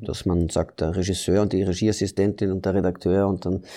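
In a Dutch accent, the voice has a dark, mellow tone and fairly even intonation. The background is quiet. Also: man. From Belgium. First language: Dutch (speaking German). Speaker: actor. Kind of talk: interview. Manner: halting.

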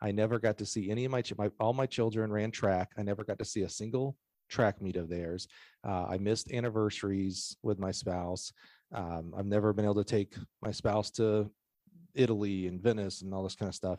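An unremarkable speaking voice from a man, fairly low in pitch, fairly quick, with fairly even intonation and a dry, close sound with no echo over a quiet background. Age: 40s. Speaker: track and field sales manager and podcast host. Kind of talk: casual chat.

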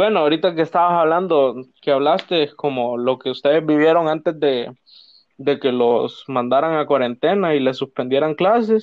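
This man has an ordinary speaking voice, fairly high in pitch, with ordinary pitch variation. He talks at a moderate pace with very even loudness. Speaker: podcast co-host, university student. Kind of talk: casual chat.

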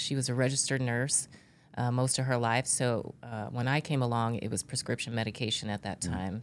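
Her voice is very deep and low in pitch, with fairly even intonation at a moderate pace. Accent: American. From California, Central Valley (Bakersfield). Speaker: retired police executive and professor. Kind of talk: interview conversation.

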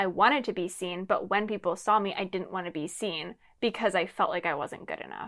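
A woman's unremarkable speaking voice at medium pitch, fairly quick and with ordinary pitch variation, on a very clean recording with a silent background. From Lancaster, Pennsylvania. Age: 20s. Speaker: podcast co-host. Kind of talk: casual chat.

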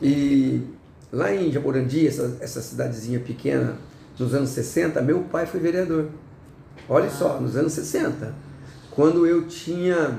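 A man speaks very slowly in a fairly high voice with ordinary pitch variation. Room echo is audible, and background noise is noticeable. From interior of São Paulo state, Brazil. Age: 60s. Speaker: city councillor. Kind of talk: interview.

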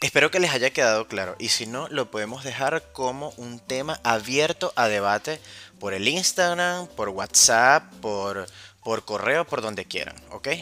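Over music in the background, a man with a medium pitch talks at a fairly slow pace in an animated, playful tone with lively intonation, the sound dry and close with no echo. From Venezuela, Caracas. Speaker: wine podcast host. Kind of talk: casual solo podcast.

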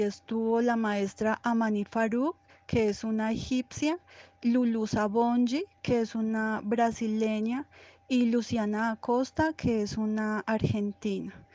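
Very slowly, a woman speaks in a fairly high pitch with a dark, mellow tone and fairly even intonation, the sound dry and close with no echo. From Colombia, Antioquia (Envigado). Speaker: dancer. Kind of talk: interview monologue about her career. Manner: hesitant, many fillers.

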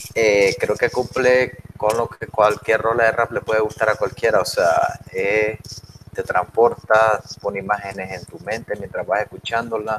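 A man talks at a fairly slow pace. Background noise is noticeable. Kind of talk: casual chat.

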